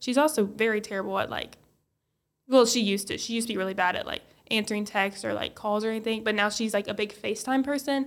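Speaking very fast, a woman uses a fairly high pitch. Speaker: podcast co-host. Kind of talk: casual chat. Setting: studio.

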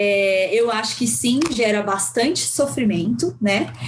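Speaking at a fairly slow pace, a woman uses lively intonation amid audible room echo. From Brazil, São Paulo (Guarulhos periphery). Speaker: psychologist. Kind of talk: casual interview.

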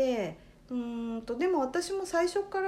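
With very wide swings in pitch, a woman talks in a high register. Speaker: life coach. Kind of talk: casual chat.

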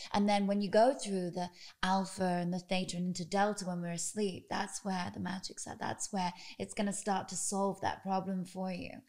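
A British accent with monotone, flat intonation at a moderate pace. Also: woman, medium pitch for a woman. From Britain. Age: 30s. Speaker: podcast host. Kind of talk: interview. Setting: guest's home.

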